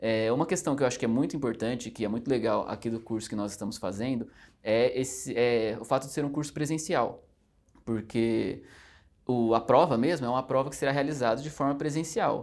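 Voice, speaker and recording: A man with a medium pitch talks at a fairly quick pace. His pitch varies in an ordinary way, and the recording is very clean with a silent background. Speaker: judicial exam candidate. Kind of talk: interview. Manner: fast; hesitant fillers.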